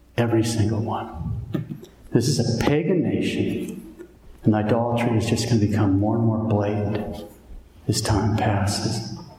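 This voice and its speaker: A man with an American accent speaks at a fairly slow pace and medium pitch, with ordinary pitch variation and very even loudness. There is noticeable background noise and audible room echo. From Montana, US. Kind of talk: sermon.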